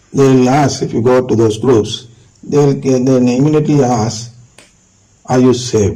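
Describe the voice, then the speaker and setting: With audible room echo, a man speaks at a moderate pace in a dark, mellow tone at a medium pitch. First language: not English. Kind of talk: lecture. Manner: halting.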